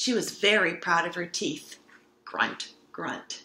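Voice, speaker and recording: Speaking fairly slowly, a woman lets her pitch vary in an ordinary way. The room adds audible echo around her. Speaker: storybook reader. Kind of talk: children's story read-aloud. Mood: warm, gentle, animated. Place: home room. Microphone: webcam.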